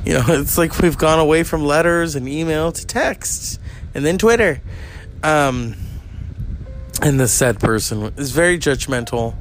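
Music plays behind a man whose fairly high voice has lively intonation, broken by long, frequent pauses. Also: fairly slow pace. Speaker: podcast host. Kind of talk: casual chat.

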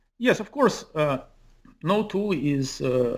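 A man speaks with lively intonation in a very clean recording with a silent background. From Ukraine (Kyiv). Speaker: author and physicist. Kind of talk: interview. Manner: halting.

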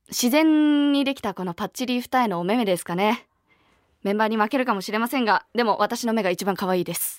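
An ordinary speaking voice, this woman talks at a fairly quick pace with a fairly high pitch and lively intonation. The recording is very clean, with a silent background and a dry, close sound with no echo. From Niigata, Japan. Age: 20s. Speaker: voice actress and idol singer. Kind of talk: interview Q&A on radio.

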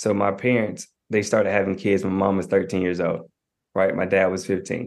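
With an American accent, the speaker goes at a fairly quick pace in a monotone, flat intonation over a quiet background. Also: man. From US South, Knoxville, Tennessee. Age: 20s. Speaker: marriage and family therapist. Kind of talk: podcast interview.

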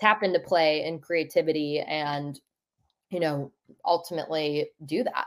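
At a moderate pace, a woman with a normal speaking voice talks with ordinary pitch variation. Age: 20s. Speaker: digital wellbeing activist, nonprofit founder. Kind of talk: casual interview. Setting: remote call.

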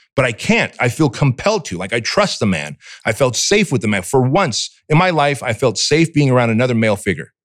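Talking at a fairly quick pace with hardly any pauses, a man with a medium pitch and an animated tone makes very wide pitch swings. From Armenia, raised in US from age six. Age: 40s. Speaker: entrepreneur, fitness franchise founder. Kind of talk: casual interview. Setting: studio.

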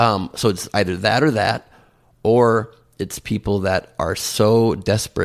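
A man with an unremarkable speaking voice talks fairly slowly at a fairly low pitch, with fairly even intonation. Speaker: comedian and presidential candidate. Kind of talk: interview.

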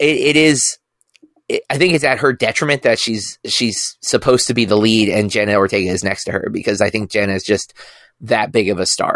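A man speaks at a medium pitch in an unremarkable speaking voice. He moves at a fairly quick pace. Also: ordinary pitch variation. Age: 40s. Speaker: film podcast host. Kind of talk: casual chat.

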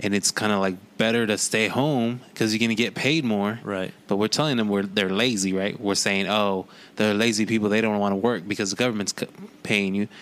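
This man has an unremarkable speaking voice, fairly low in pitch, with fairly even intonation. He talks at a fairly quick pace with very even loudness. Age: 40s. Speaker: podcast co-host. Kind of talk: casual chat.

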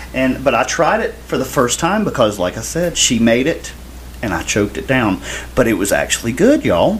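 A man speaks with a Southern US accent. Noticeable background noise can be heard. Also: moderate pace. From US South. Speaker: podcast co-host, gospel singer. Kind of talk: casual chat.

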